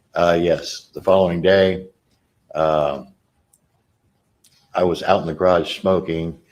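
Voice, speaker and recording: The speech moves at a fairly slow pace. Its intonation is flat and monotone. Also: man. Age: 60s. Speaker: trial witness. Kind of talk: courtroom testimony. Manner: halting.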